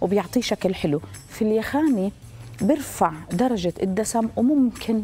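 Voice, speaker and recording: A woman speaks at a fairly slow pace while faint music plays in the background. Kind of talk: tutorial. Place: studio. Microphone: lapel.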